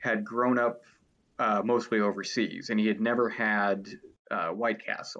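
A man with an American accent and an unremarkable speaking voice, medium in pitch, at a fairly slow pace. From Cleveland, Ohio. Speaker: food writer. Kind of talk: casual chat.

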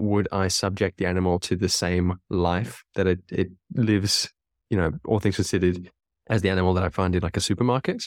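A man with a very deep, low pitch speaks at a fairly quick pace with fairly even intonation, in a very clean recording with a silent background and a dry, close sound with no echo. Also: very even loudness. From South Africa. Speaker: podcast co-host. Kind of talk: casual chat. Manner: halting.

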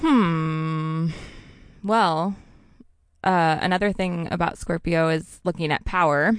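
A woman's fairly low voice at a very slow pace, with long, frequent pauses, very even loudness and fairly even intonation, against a quiet background. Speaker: intuitive astrologer. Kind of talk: casual interview chat.

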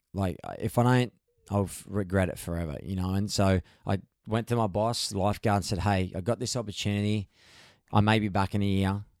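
Heard in a very clean recording with a silent background, a man with an Australian accent and a fairly low voice speaks at a fairly quick pace with fairly even intonation. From Australia, Gold Coast. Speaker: champion paddleboarder and big wave surfer. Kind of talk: casual chat. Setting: in person at a home. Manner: halting, with frequent repeated words.

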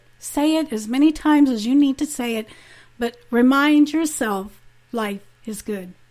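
A woman speaks in a high voice with lively intonation. Her pace is fairly slow. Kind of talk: inspirational talk. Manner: casual, conversational.

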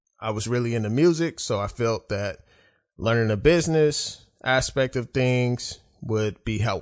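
An ordinary speaking voice with an American accent comes through against a quiet background. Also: man. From Oklahoma City, US. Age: 30s. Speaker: podcast host. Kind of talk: solo monologue podcast.

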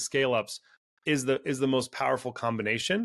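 Against a quiet background, a man talks at a fairly quick pace with a medium pitch and ordinary pitch variation. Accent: Californian. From California. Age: 40s. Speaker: venture capital investor. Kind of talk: interview.

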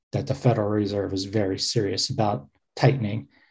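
With a dark, mellow tone and a somewhat breathy sound, a man talks at a moderate pace. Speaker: publisher and co-host. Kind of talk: casual chat.

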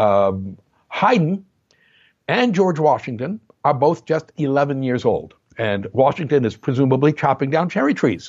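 An ordinary speaking voice from a man with an American accent and a fairly high pitch. He goes at a fairly slow pace with lively intonation. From New Jersey. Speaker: music historian and composer. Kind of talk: interview.

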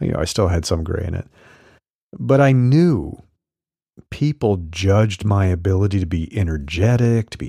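Somewhat breathy, a man with a fairly low pitch and a dark, mellow tone moves through very wide pitch swings. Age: 50s. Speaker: solopreneur coach and newsletter podcaster. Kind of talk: solo podcast monologue reading newsletter.

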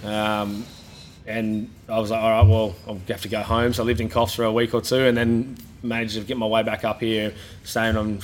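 The speaker has an Australian accent and a moderate pace. The intonation stays fairly even. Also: man. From New South Wales, Australia. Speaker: gym owner and former rugby league player. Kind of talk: casual interview. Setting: in-person at his gym.

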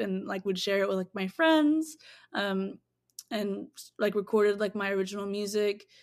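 A plain, everyday voice speaks with an American accent and fairly even intonation. It comes on a very clean recording with a silent background. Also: woman. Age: 20s. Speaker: singer-songwriter and producer. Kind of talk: interview.

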